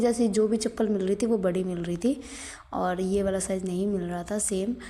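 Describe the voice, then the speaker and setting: Noticeable background noise sits behind a woman's voice. Her pitch is medium and her tone animated. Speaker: vlogger. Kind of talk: casual vlog narration. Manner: chatty, animated.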